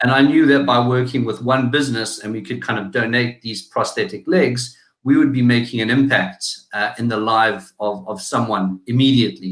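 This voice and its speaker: A man speaks with a South African accent at medium pitch. He keeps a moderate pace with ordinary pitch variation. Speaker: digital marketing agency founder. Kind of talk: interview. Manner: hesitant, many fillers.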